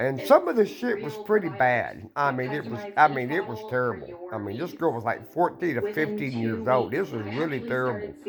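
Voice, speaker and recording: A man's voice with very wide pitch swings, a moderate pace and hardly any pauses, over noticeable background noise. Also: medium pitch for a man. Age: 60s. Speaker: vlogger. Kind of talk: casual monologue. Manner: halting.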